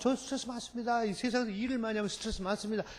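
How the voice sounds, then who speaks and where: A man speaks in an animated tone at a high pitch, with ordinary pitch variation. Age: 60s. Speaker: professor. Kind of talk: lecture.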